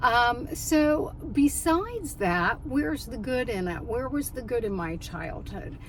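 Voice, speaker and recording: A woman's high voice with very wide pitch swings, fairly slow yet with hardly any pauses, amid audible room echo and noticeable background noise. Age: 60s. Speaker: life coach and minister vlogger. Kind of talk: casual personal vlog reflection. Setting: in a car in a parking lot. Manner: hesitant with frequent fillers.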